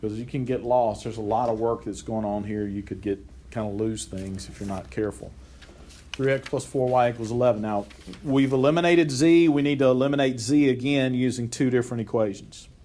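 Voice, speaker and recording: With audible room echo, a man of medium pitch and a dark, mellow tone speaks at a fairly quick pace with ordinary pitch variation. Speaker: math teacher. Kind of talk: classroom lecture.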